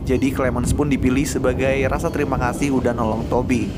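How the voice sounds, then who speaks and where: Over music in the background, a man talks fairly quickly at medium pitch with ordinary pitch variation. Audible room echo surrounds his voice. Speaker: movie recap narrator. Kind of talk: casual film plot recap narration. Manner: soft-spoken, lowered voice; relaxed, laid-back.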